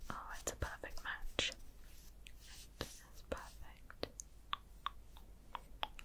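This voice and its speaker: Very slow whispering with a British accent, broken by long, frequent pauses. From United Kingdom. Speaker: ASMR creator. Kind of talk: ASMR roleplay. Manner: whispered; soft-spoken, slow.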